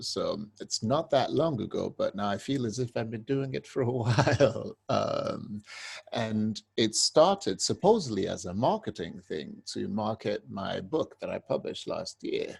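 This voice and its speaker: A man with a British accent at a fairly slow pace, with hardly any pauses. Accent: UK. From UK. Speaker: poet and musician. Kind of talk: interview.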